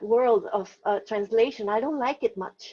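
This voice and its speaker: With a Spanish accent, a woman talks using lively intonation. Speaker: novelist. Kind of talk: interview. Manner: halting, many fillers and restarts.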